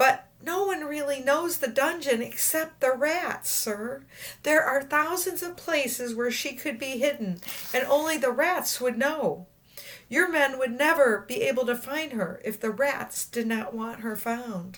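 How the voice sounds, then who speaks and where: A woman's high-pitched, put-on character voice. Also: moderate pace. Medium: read story. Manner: earnest, overly formal.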